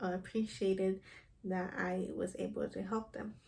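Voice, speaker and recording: A woman with a Spanish accent speaks at a fairly slow pace and a medium pitch. Her tone is dark and mellow, and somewhat breathy. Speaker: counseling program applicant. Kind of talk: recorded application interview. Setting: self-recorded video. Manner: hesitant, with fillers.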